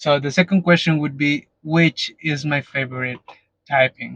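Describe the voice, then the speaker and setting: A man's fairly high voice with a Mexican accent, fairly even intonation and a fairly slow pace, dry and close with no echo. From Mexico. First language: Spanish. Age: 30s. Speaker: YouTuber, Pokemon collector. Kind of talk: casual vlog Q&A. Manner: halting, some self-corrections.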